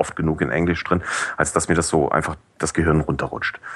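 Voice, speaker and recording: Vocal fry runs through this man's voice. He talks at a fairly quick pace. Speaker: podcast review blogger. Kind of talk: casual chat. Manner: hesitant, many fillers. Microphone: cheap headset, high noise.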